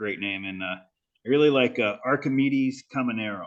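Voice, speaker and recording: An ordinary speaking voice with an American accent carries ordinary pitch variation. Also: man. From California. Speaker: podcast host. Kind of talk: casual chat.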